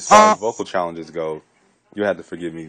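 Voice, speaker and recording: Very fast speech over music in the background. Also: man. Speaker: theater student. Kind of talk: video diary. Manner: monotone.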